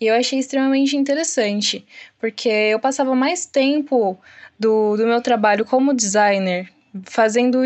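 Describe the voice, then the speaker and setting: A woman has an ordinary speaking voice. Her pitch is fairly high, with ordinary pitch variation. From São Paulo, Brazil. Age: 20s. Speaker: junior web developer. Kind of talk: interview.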